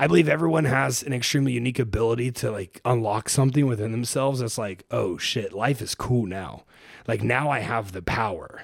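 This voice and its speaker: A man with an American accent speaks at a fairly quick pace in an ordinary speaking voice. His pitch is medium and varies in an ordinary way. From Ohio, US Midwest. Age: 20s. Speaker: fitness coach and entrepreneur. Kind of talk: casual interview. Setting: studio, in person.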